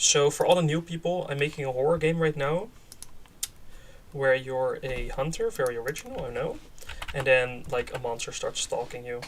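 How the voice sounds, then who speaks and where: A man speaks with a Dutch accent at a moderate pace. Noticeable background noise runs underneath. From Netherlands. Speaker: game developer streamer. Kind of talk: live stream commentary. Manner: halting, many fillers; casual.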